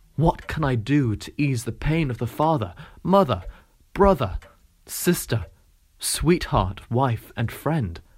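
Speaking very slowly with long, frequent pauses, a man uses a dramatic tone, vocal fry, and very wide pitch swings around a medium pitch. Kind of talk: audiobook reading of novel extracts. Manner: measured, narrative, expressive reading with dramatic pauses.

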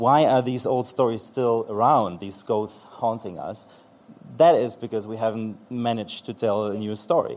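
A man's medium-pitched voice with a German accent, fairly even intonation, and a moderate pace. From eastern Germany. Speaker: author, composer and magazine editor. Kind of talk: panel discussion. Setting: stage with audience.

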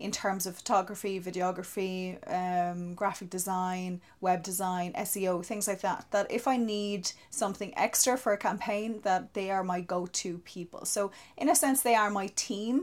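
A woman with a southeastern Irish accent talks at a moderate pace with hardly any pauses, at a medium pitch with ordinary pitch variation, on a very clean recording over a silent background. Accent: Irish (south-east). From Ireland, County Wexford. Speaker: social media marketer. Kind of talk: interview conversation.

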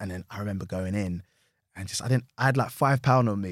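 A man with a London accent talks very fast in a fairly low voice. The recording is very clean and dry, close and with no echo, over a silent background. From London, Hackney. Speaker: actor and comedy writer. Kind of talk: casual interview chat. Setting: studio.

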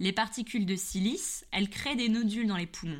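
A woman at a moderate pace with ordinary pitch variation, on a very clean recording with a silent background. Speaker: history podcaster. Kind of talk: scripted narration. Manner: slight hesitation at the start. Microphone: new high-quality microphone.

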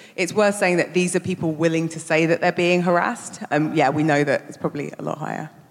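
A woman with a fairly low pitch talks at a very fast pace with hardly any pauses, over noticeable background noise. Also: fairly even intonation. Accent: London. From South London. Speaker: campaign organiser. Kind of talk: live panel talk. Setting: stage with audience.

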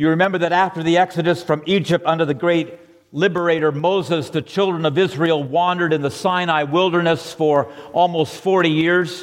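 Amid noticeable background noise, a man with an American accent speaks at a fairly quick pace in a high voice. His intonation stays fairly even, and his loudness very even. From Southern California. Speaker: pastor. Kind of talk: sermon. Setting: church.

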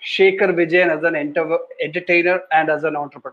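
A man's high-pitched voice at a fairly quick pace. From India, Kerala (Kottayam). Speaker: podcast host. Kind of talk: casual interview.

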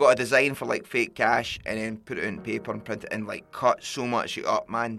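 Music plays behind a man speaking in a Glasgow accent. He goes at a fairly quick pace with hardly any pauses. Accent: Scottish (Glasgow). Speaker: podcast host, musician. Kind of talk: casual chat. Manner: animated.

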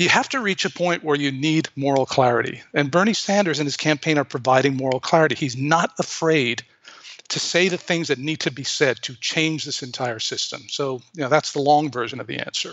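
A man talks at a fairly quick pace in a fairly high pitch. He has a normal speaking voice with ordinary pitch variation. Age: 50s. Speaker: progressive political activist. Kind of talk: interview.

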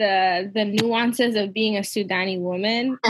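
A woman with an ordinary speaking voice talks in an American accent. Her pitch is fairly high and her pace fairly slow. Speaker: podcast host. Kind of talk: casual chat.

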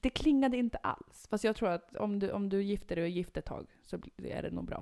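With a plain, everyday voice, a woman talks fairly quickly at a medium pitch and with ordinary pitch variation. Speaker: podcast co-host. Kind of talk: casual chat. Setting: home bedroom.

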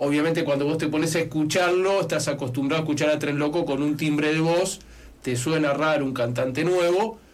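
A man's fairly high-pitched voice, very even in loudness, with fairly even intonation and a fairly quick pace, plus noticeable background noise and audible room echo. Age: 40s. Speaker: radio host. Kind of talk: casual interview.

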